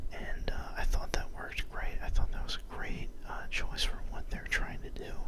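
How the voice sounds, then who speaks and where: At a moderate pace, a man whispers over noticeable background noise. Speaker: ASMR creator. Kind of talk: ASMR album review. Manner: whispered.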